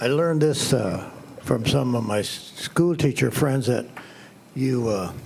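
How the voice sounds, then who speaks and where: A man's medium-pitched voice at a fairly slow pace, with ordinary pitch variation and noticeable background noise. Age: 80s+. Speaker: retired resident giving public comment. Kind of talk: public comment at a meeting. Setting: school board meeting room.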